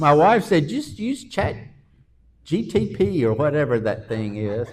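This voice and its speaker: Somewhat breathy and with a Southern US accent, a man with a fairly high pitch talks at a fairly slow pace, his pitch swinging very widely. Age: 60s. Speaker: pastor. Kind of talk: casual interview chat.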